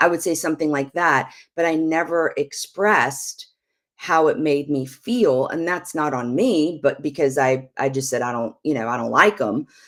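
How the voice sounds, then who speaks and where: At a fairly slow pace, a woman speaks in a very deep, low pitch. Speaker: prophetic minister and show host. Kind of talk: teaching talk on marriage. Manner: calm, not a yeller; loud when preaching.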